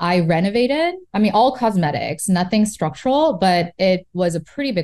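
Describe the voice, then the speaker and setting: A woman with a Korean accent speaks on a very clean recording with a silent background. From South Korea. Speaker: real estate investor and entrepreneur. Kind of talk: casual interview chat.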